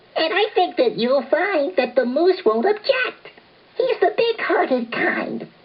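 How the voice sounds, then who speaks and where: A squeaky, put-on character voice at an extremely high pitch moves at a fairly slow pace with very wide pitch swings. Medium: read story.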